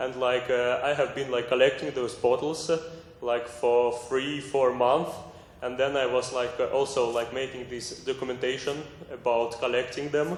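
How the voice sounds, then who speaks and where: A man with a non-native accent talks at a moderate pace and medium pitch in a monotone, flat delivery. Noticeable background noise and audible room echo fill the recording. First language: not English. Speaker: artist. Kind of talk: group discussion presentation. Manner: halting.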